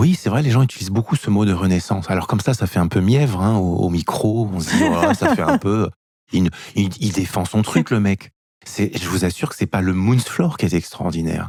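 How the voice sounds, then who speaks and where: An ordinary speaking voice from a man, fairly low in pitch, at a moderate pace, with ordinary pitch variation and big swings in loudness. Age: 50s. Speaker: author and movement method founder, former dancer. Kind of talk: interview.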